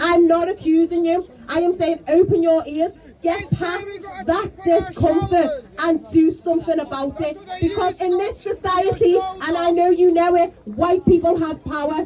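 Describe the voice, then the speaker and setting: A loud woman's voice, extremely high in pitch, with fairly even intonation. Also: moderate pace. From Liverpool, England. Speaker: activist speaker. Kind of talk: protest speech. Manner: passionate.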